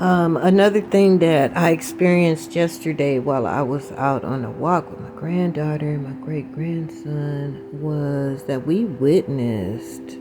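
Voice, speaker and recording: Lively intonation runs through fairly slow speech with hardly any pauses. Noticeable background noise is present. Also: woman, very deep, low pitch for a woman. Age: 60s. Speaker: spiritual vlogger. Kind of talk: casual spiritual talk.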